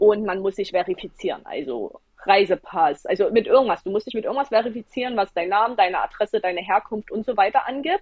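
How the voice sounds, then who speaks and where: The voice rushes along at a very fast pace with hardly any pauses, in an animated tone with ordinary pitch variation. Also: woman, fairly high pitch for a woman. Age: 20s. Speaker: travel blogger and former nurse. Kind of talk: interview.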